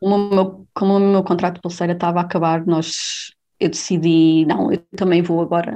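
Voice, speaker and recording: Speaking at a moderate pace, a woman keeps a fairly low pitch, fairly even intonation and very even loudness. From Portugal, Covilhã (interior Beira). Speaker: leukemia researcher. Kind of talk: interview. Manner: halting, many repetitions and fillers.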